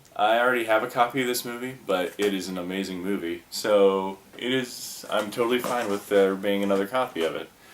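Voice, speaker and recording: Against noticeable background noise, a man talks at a fairly quick pace with hardly any pauses and ordinary pitch variation. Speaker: former video store clerk. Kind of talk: casual talk to camera. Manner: rambling, casual.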